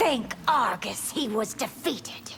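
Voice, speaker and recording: Amid clear background noise, a woman performs a put-on character voice, high-pitched and delivered at a fairly slow pace. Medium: video game.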